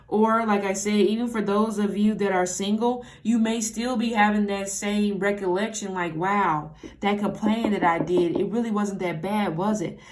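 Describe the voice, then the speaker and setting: A woman's medium-pitched voice, fairly even in intonation, with audible room echo. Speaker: tarot reader. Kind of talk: tarot reading monologue. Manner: casual, halting with self-corrections.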